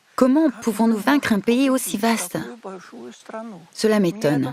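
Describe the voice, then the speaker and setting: Lively intonation from a woman at a fairly slow pace, with noticeable background noise. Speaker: voice actor. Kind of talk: documentary voice-over of testimony.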